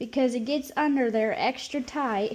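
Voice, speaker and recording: Speaking very slowly with a Nebraska accent, a woman uses a high pitch. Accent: rural Nebraska. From Nebraska, US Midwest. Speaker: caregiver. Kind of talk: tutorial. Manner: casual, playful.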